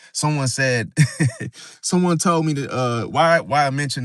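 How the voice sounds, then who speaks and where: The speaker is a man at a moderate pace. The background is quiet. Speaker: astrology livestreamer. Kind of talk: live stream talk. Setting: live stream. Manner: monotone; dry, flat delivery.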